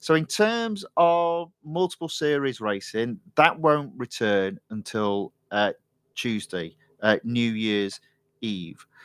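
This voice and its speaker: Very slow and medium in pitch, a man speaks with an East Midlands accent and very wide pitch swings. The sound is dry and close with no echo, on a very clean recording with a silent background. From Nottinghamshire, England. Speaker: gaming live streamer. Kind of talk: casual live stream commentary. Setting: live stream.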